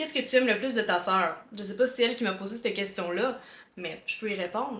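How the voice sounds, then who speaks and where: A woman with a plain, everyday voice keeps a moderate pace and ordinary pitch variation. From Quebec, Montreal. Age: 20s. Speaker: content creator. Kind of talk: casual Q&A vlog. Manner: casual, chatty.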